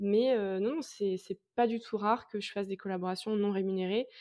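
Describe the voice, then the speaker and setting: A woman's medium-pitched voice keeps fairly even intonation at a moderate speed. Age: 20s. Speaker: content creator. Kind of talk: interview. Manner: casual, hesitant with many fillers.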